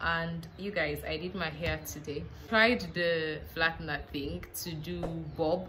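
A woman speaks with low pitch and a bright, sharp tone. Her pace is fairly slow and her intonation fairly even.

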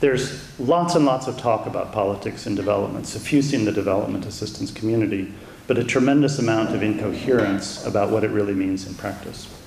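A man with an American accent and a fairly low pitch talks at a very fast pace with hardly any pauses, with light background noise and audible room echo. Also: ordinary pitch variation. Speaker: democracy aid expert, think tank vice president. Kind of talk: lecture. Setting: university lecture room with audience. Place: hall. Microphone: podium.

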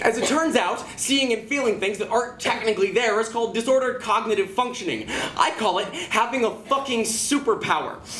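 A man speaks at a fairly quick pace with hardly any pauses, his pitch extremely high and its variation ordinary. Music plays in the background, and the room echo is audible. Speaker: slam poet. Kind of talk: slam poetry performance. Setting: live venue. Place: stage. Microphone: camera far.

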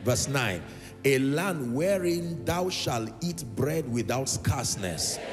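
A man at a very slow pace, clear music in the background. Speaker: preacher. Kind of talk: sermon. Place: church. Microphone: handheld.

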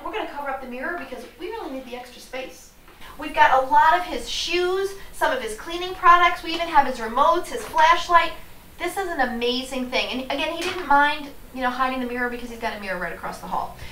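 A woman speaks at a very fast pace in a raised, projected voice, with big swings in loudness. Light background noise and audible room echo are present. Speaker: professional organizer host. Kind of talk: tutorial. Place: home room.

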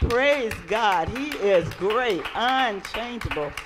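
Over crowd noise in the background, a woman talks at a very slow pace. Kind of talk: exhortation during worship service. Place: church. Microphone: handheld.

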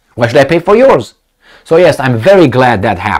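The setting behind the speech is quiet. The voice belongs to a man. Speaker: video commentator. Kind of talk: angry political rant. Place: office. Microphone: lapel.

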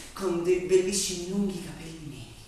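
Strong room echo surrounds a man's voice, along with light background noise. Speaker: actor. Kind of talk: theatrical monologue. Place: stage.

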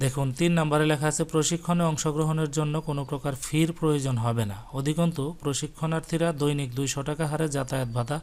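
A man talks in a normal speaking voice, pitched fairly high. His intonation stays fairly even. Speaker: YouTube educator. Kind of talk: tutorial. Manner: reading aloud from a notice.

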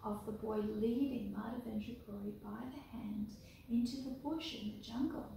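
A woman's fairly high voice with fairly even intonation, strong room echo and light background noise. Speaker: storyteller and deity clothing maker. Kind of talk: reading a story aloud from a book, children's storytime style. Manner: slow, clear, unhurried pacing with direct address to viewers. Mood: gentle, calm. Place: home room. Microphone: camera far.

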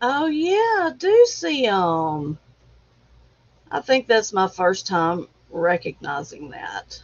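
A woman speaks very slowly, leaving long, frequent pauses. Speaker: livestream host. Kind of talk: casual chat. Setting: at home. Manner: halting.

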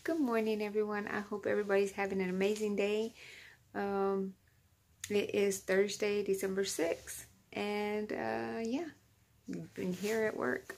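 At a fairly slow pace, a woman speaks with long, frequent pauses. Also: ordinary pitch variation. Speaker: vlogger. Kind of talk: casual vlog chat. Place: office. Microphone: phone near.

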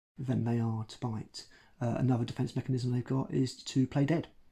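The voice is somewhat breathy with ordinary pitch variation, set against a quiet background. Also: man. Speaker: educator. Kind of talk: educational talk to camera. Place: home room.

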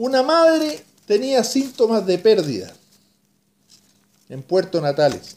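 Using a Chilean accent, a high-pitched man talks at a very slow pace with very wide pitch swings and long, frequent pauses. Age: 60s. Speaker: radio announcer. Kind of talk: personal video message. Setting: at home. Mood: emotional, grateful, reflective. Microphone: webcam.

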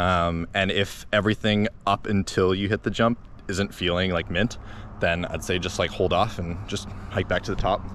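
A man speaks at a moderate pace in a low voice with a fairly bright tone. His pitch moves very little.

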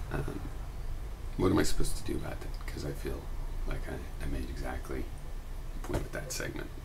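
Speech comes at a fairly quick pace broken by long, frequent pauses, with noticeable background noise behind it. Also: man. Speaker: video blogger. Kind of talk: explanatory monologue. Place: home room. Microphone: webcam.

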